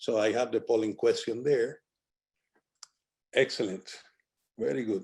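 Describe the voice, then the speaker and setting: A man speaks with a Spanish accent. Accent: Spanish accent, noticeable. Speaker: physician presenter. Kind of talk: lecture.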